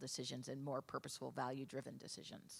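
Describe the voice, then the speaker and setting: A woman with a New York accent. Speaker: travel industry consultant. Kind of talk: conference panel discussion.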